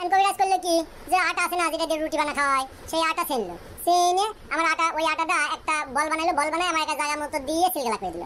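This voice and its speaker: A woman does a cartoonish character voice at an extremely high pitch and a very fast pace. Her intonation stays fairly even, with clear background noise behind her. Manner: chatty, colloquial storytelling.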